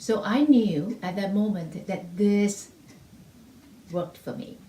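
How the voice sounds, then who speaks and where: A woman at a medium pitch with a non-native accent and ordinary pitch variation. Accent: heavy non-native. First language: not English (English is third language). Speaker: music teacher. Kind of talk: testimonial. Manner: halting.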